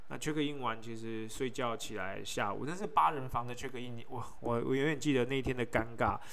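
Over noticeable background noise and audible room echo, a man talks at a fairly quick pace with hardly any pauses. His pitch is medium, with ordinary variation. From Taiwan. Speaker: podcast host, travel storyteller. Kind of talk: solo travel narration. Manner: casual, repetitive filler.

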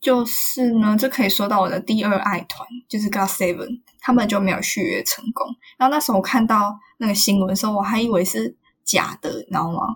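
A woman speaks fairly quickly in a plain, everyday voice, her fairly high pitch showing ordinary variation. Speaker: podcast co-host. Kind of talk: casual chat.

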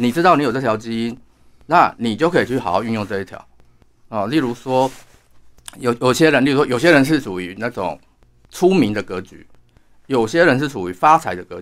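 Speaking at a fairly quick pace, a man with a normal speaking voice and medium pitch uses lively intonation and big swings in loudness. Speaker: astrologer and author. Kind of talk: interview.

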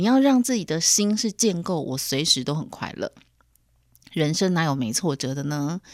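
In a very clean recording with a silent background, a woman talks at a moderate pace and a fairly low pitch, her voice making very wide pitch swings. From Taiwan. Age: 40s. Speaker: podcast host. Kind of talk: solo podcast monologue. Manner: animated.

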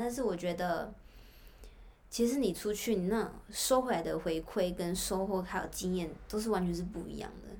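At a moderate pace, a woman talks at a medium pitch with ordinary pitch variation, and audible room echo surrounds her voice. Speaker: former intern abroad. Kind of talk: casual chat.

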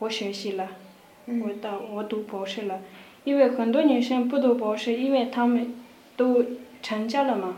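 With a Tibetan accent, a woman with a fairly high pitch speaks at a moderate pace in fairly even intonation, leaving long, frequent pauses amid noticeable background noise and audible room echo. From Tibet, Kham region (Dege county). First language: Tibetan (speaking Chinese). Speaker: university student. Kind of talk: casual interview. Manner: halting.

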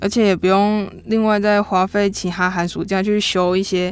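Very cleanly recorded over a silent background, a woman speaks at a medium pitch and moderate pace in a monotone, flat intonation. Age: 20s. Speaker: church pianist. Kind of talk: personal testimony.

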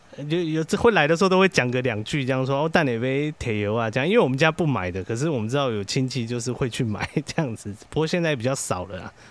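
A medium-pitched man talking very fast with lively intonation and hardly any pauses. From Taiwan, Chiayi. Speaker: social worker and podcaster. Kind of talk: casual chat.

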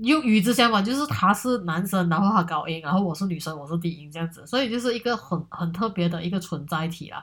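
Lively intonation marks this woman's very fast speech. Her voice is fairly low in pitch and somewhat breathy. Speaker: solo podcast host. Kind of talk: casual monologue. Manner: hesitant, many fillers.

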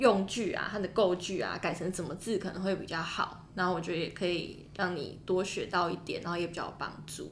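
A woman's medium-pitched voice with fairly even intonation at a fairly quick pace, with audible room echo. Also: hardly any pauses. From Taiwan. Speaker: international student, podcaster. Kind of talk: casual chat.

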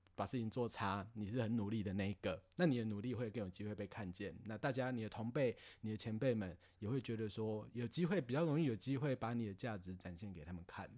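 Very fast and fairly low in pitch, a man's voice rushes along. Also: ordinary pitch variation, hardly any pauses. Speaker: office worker podcast guest. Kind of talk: casual chat.

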